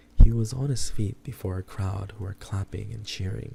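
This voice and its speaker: A man's fairly low, dark and mellow voice with vocal fry, at a moderate pace with ordinary pitch variation. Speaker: streamer. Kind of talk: horror book reading.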